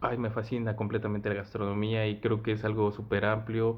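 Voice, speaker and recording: A man speaks with a central Mexican accent. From Mexico, Mexico City. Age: 20s. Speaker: chef. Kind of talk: interview answers.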